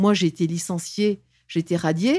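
Against a quiet background, a woman speaks at a fairly slow pace with a dark, mellow tone and ordinary pitch variation. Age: 60s. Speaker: former diplomat and whistleblower; interview guest. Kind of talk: interview testimony; interview answer. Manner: halting, frequent repetitions. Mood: aggrieved, earnest. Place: studio. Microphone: studio mic.

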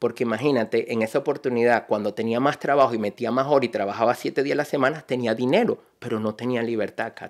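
A man's very fast speech with fairly even intonation. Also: hardly any pauses, quiet background. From Venezuela, Barinas; Venezuela. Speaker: energy consultant and entrepreneur; podcast guest. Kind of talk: interview. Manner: halting, many repetitions. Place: studio. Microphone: studio mic.

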